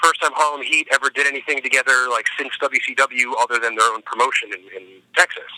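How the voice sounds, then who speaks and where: Talking at a very fast pace, a man with an American accent has a fairly high pitch, a bright, sharp tone and fairly even intonation. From US Northeast, near Philadelphia. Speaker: pro wrestler and metal singer. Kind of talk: interview. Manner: casual, hesitant with fillers.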